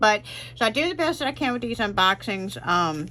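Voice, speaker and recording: Loud and bright with a sharp tone, a woman speaks at a fairly quick pace with very wide pitch swings. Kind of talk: unboxing tutorial. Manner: casual, with frequent fillers.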